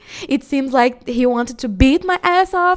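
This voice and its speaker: With a Portuguese accent, a woman talks at a moderate pace with very wide pitch swings, on a very clean recording with a silent background. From Brazil. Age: 20s. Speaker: solo podcaster. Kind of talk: casual storytelling monologue. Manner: halting, many fillers.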